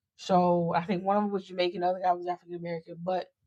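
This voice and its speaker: A woman at a fairly quick pace. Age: 30s. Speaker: podcast host. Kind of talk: personal storytelling podcast monologue. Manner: casual, conversational.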